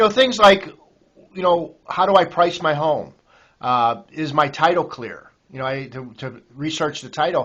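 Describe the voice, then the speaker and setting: A high-pitched man with a Pittsburgh accent talks with lively intonation. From Pittsburgh area, US. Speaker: real estate website host. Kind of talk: promotional interview. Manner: halting.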